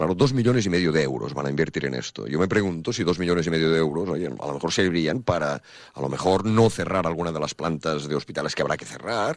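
A man talks at a very fast pace with hardly any pauses, very deep, low pitch and lively intonation. Noticeable background noise is present. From Catalonia, Spain (Banyoles, Girona). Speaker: bullfighter's manager and musician, author. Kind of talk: radio interview. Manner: halting, many fillers.

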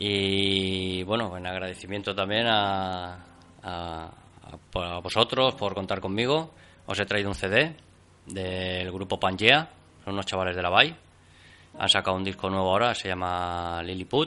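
A man speaks at a very deep, low pitch with ordinary pitch variation. His tone is bright and sharp. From Catalonia, Spain (Barcelona). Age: 40s. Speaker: carpenter, interview guest. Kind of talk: interview. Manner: halting, many fillers and repetitions.

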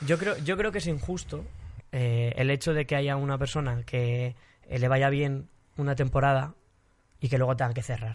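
Against a quiet background, a man with a medium-pitched, somewhat breathy voice speaks at a moderate pace with long, frequent pauses. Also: ordinary pitch variation. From Spain. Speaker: singer. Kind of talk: casual chat.

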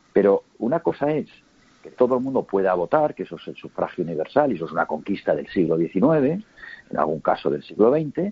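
A man speaks at a fairly quick pace in a medium pitch, with vocal fry and very wide pitch swings. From Spain, Huesca (Aragon). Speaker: businessman and political analyst. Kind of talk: interview. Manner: measured, calm.

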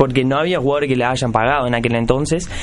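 A man with a Uruguayan accent, amid noticeable background noise and audible room echo. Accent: Rioplatense Spanish (Uruguayan). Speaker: radio show host. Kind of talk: casual chat.

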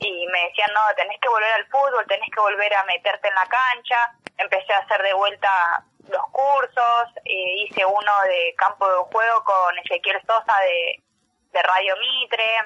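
A woman with an unremarkable speaking voice talks at a fairly slow pace. Her pitch is medium and her intonation fairly even. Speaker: sports journalist and taekwondo athlete. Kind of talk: radio interview.

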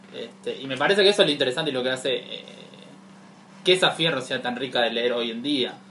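A man with a Rioplatense accent speaks at a very fast pace. He leaves long, frequent pauses. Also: medium pitch for a man, ordinary pitch variation. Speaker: podcast co-host. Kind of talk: casual chat.

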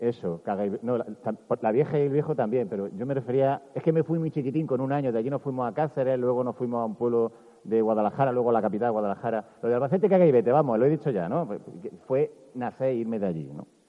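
Talking at a very fast pace, a man with medium pitch shows ordinary pitch variation. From Andalusia, Bailén (Jaén). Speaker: journalist giving a festival proclamation speech. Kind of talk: public proclamation speech. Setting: outdoor town square stage with audience. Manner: animated.

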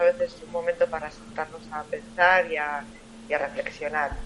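With noticeable background noise around her, a woman talks at a moderate pace, her pitch varying in an ordinary way. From Tudela, Navarre, Spain. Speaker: author. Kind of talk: interview.

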